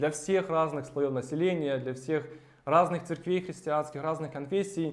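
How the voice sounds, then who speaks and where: Amid audible room echo, a man with a fairly high pitch speaks at a fairly slow pace with fairly even intonation. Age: 30s. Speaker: preacher. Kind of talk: sermon.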